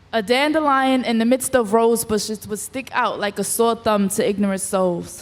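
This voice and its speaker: A woman's normal speaking voice, fairly high in pitch, with ordinary pitch variation, a moderate pace and hardly any pauses. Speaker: spoken word poet. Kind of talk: spoken word poetry performance.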